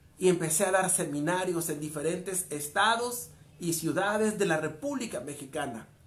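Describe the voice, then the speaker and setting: A man at a moderate pace, lively intonation, and audible room echo around him. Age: 40s. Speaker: motivational speaker. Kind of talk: motivational monologue.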